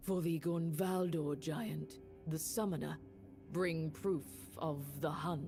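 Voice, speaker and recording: Clear music plays in the background as a put-on character voice at middle pitch moves at a fairly slow pace, with long, frequent pauses. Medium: video game. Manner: solemn, measured.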